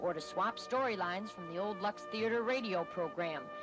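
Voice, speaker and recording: With music playing in the background, a woman talks at a moderate pace, her pitch swinging very widely. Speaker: TV news reporter. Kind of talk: TV news voice-over report.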